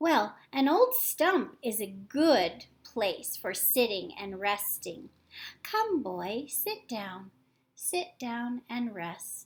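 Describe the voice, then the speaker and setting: Her voice is a put-on character voice, high in pitch. The woman speaks at a very slow pace. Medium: read story. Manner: gentle, tender.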